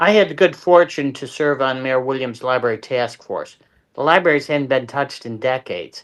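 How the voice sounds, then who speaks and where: A man with an unremarkable speaking voice talks at a moderate pace and fairly high pitch. His pitch varies in an ordinary way against a quiet background. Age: 60s. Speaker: local political candidate. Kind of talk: interview.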